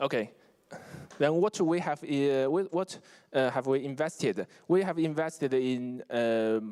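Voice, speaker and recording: A man with a fairly high pitch, dark and mellow tone, ordinary pitch variation and a Chinese accent, at a fairly slow pace. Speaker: investment fund executive. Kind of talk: conference presentation. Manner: halting, many fillers and restarts.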